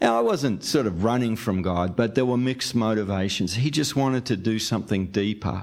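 In a very clean recording with a silent background, a man with an Australian accent speaks at a moderate pace in a fairly low pitch. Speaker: podcast host and church-planting ministry leader. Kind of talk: interview conversation.

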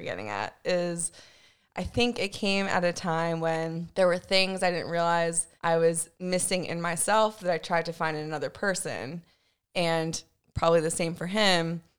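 A woman with an American accent and an unremarkable speaking voice, fairly low in pitch, at a moderate pace. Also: big swings in loudness. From Virginia, US. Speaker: guest. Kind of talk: casual chat.

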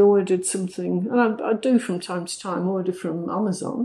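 A woman speaks with a Manchester accent and ordinary pitch variation. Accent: northern English (Manchester area). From northern England, near Manchester. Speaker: language school director, former teacher. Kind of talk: casual interview. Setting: in Mexico City, interview.

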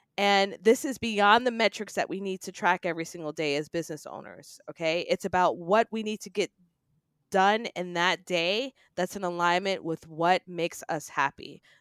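A woman with a plain, everyday voice speaks in an American accent at medium pitch, with ordinary pitch variation and big swings in loudness. The sound is dry and close with no echo, in a very clean recording with a silent background. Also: moderate pace. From New York City, Queens. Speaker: public speaking coach and business strategist. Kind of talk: podcast interview.

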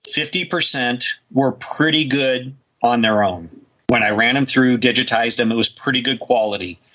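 With ordinary pitch variation, an unremarkable speaking voice proceeds at a fairly slow pace. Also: man. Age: 50s. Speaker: UFO researcher and author. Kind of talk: interview. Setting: remote call.

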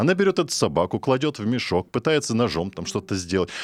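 A man at a fairly quick pace with very wide pitch swings, in a very clean recording with a silent background. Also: dry, close sound with no echo. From Russian countryside. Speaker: radio host. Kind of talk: talk radio discussion. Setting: studio.

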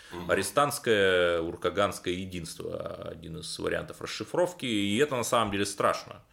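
Here a man talks at a moderate pace with hardly any pauses. His loudness swings widely. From Cherepovets, northwest Russia. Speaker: radio host and political journalist. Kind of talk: radio interview.

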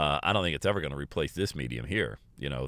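A man talks in an animated tone with very wide pitch swings. Vocal fry runs through his voice. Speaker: podcast host and motivational speaker. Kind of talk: motivational solo monologue. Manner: fast talker; animated, motivational.

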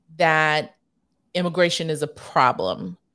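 The recording is very clean with a silent background, capturing a woman with a fairly low pitch and ordinary pitch variation. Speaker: radio host and political strategist. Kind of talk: radio interview.

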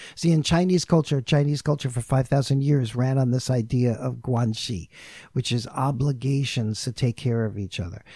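Here a man with an American accent speaks at a moderate pace. His tone is dark and mellow, and somewhat breathy. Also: medium pitch for a man, ordinary pitch variation, very clean recording, silent background. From New York. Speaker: intercultural consultant. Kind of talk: casual chat.

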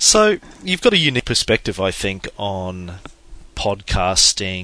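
A man speaks with an Australian accent. His voice is fairly low, and his pace is moderate. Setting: phone call.

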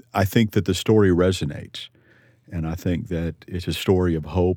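Very deep and low, a man's dark, mellow voice carries a Texan accent, ordinary pitch variation and a moderate pace in a very clean recording with a silent background. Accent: Texan American. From Texas. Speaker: litigation attorney, Army veteran. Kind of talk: interview testimony.

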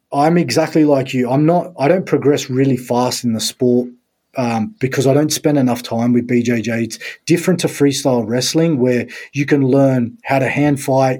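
A man with an Australian accent speaks at medium pitch in a dark, mellow tone. The recording is very clean with a silent background. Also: fairly even intonation, moderate pace. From Sydney, Australia. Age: 30s. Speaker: strength and conditioning coach. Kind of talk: casual interview chat.

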